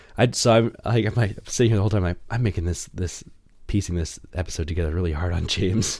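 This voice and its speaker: A man's very deep, low, somewhat breathy voice at a very fast pace, with ordinary pitch variation. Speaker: podcast co-host. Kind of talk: casual chat.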